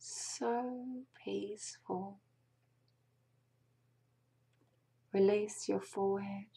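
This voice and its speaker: A woman whispers, soft-spoken. Her voice is somewhat breathy. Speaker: meditation guide. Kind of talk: guided meditation. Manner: slow, soft whispered meditation voice. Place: home room. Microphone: webcam.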